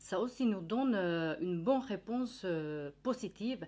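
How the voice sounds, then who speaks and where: On a very clean recording with a silent background, a woman uses lively intonation and a dark, mellow tone. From Finland. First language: Finnish (speaking French). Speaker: nutritionist. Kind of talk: educational presentation. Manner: hesitant, many fillers.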